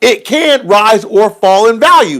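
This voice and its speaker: A man's high, animated voice with ordinary pitch variation, on a very clean recording with a silent background. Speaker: livestream host on currency investing. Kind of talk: casual livestream chat. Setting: live stream. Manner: loud, hollering.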